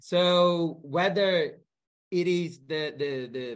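On a very clean recording with a silent background, a man with a Portuguese accent speaks with ordinary pitch variation. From Brazil. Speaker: sociology professor. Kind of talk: interview.

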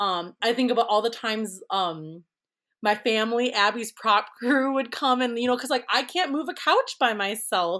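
In a plain, everyday voice, a woman with an American accent speaks at a fairly high pitch with lively intonation. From Minnesota, Twin Cities. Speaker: prop designer. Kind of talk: casual interview. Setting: remote recording.

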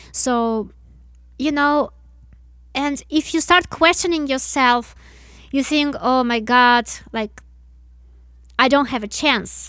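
The voice moves at a very slow pace, broken by long, frequent pauses. Its tone is bright and sharp, with ordinary pitch variation. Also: woman, high pitch for a woman. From Russia. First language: Russian. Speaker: musician. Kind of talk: casual interview chat.

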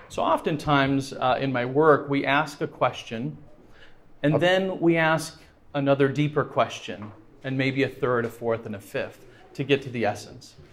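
A man with a fairly high pitch uses an ordinary speaking voice, talking fairly slowly with ordinary pitch variation. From France. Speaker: guest speaker. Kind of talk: evangelistic lecture with consecutive interpretation. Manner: pauses after each sentence for interpreter.

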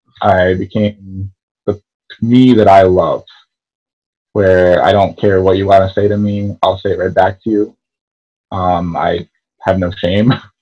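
A man with an American accent speaks fairly slowly in a fairly low, dark, mellow voice, with flat, monotone intonation and long, frequent pauses. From Connecticut, US. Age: 20s. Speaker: Instagram personality, fast food worker. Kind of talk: casual interview chat. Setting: video call.

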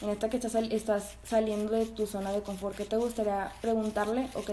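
A woman with a Mexican accent talks at a fairly high pitch and fairly quick pace. Her intonation is monotone and flat, with hardly any pauses. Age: 20s. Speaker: podcast co-host and writer. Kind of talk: casual chat.

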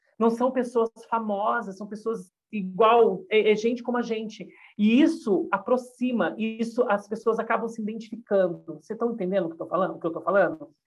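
With an unremarkable speaking voice, a woman talks at a moderate pace and a fairly high pitch, with ordinary pitch variation and big swings in loudness. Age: 40s. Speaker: YouTuber and gossip commentator. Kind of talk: casual podcast chat.

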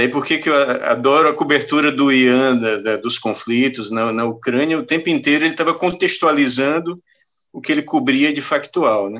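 A man with a plain, everyday voice speaks at a moderate pace and fairly high pitch, with ordinary pitch variation, against a quiet background. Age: 50s. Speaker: journalist. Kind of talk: casual chat.

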